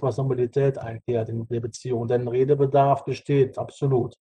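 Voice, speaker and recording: A man speaks at a moderate pace and medium pitch in a dark, mellow tone. His voice is somewhat breathy, with monotone, flat intonation. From Rhineland-Palatinate, Ahr valley. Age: 40s. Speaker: bus driver and state parliament candidate. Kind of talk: podcast interview.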